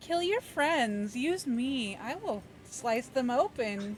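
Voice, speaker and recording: Over clear background noise, a female-sounding voice does a high-pitched, put-on character voice at a very slow pace. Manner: menacing, deadpan.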